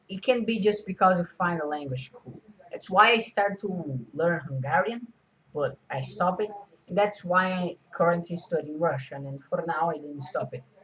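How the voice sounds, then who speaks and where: Spoken with a Portuguese accent, the voice keeps a moderate pace and ordinary pitch variation. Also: man, high pitch for a man. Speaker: video creator. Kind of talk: casual vlog talk. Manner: halting, many fillers.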